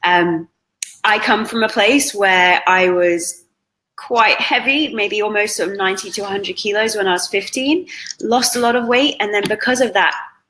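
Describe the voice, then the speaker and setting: With a British accent, a woman speaks at a moderate pace in a bright, sharp tone, her pitch fairly high with ordinary variation. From Britain. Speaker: fitness trainer. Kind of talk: interview.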